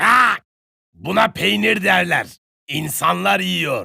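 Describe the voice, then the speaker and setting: A put-on character voice from a man, high in pitch and drawn out at a very slow pace. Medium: read story. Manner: haughty.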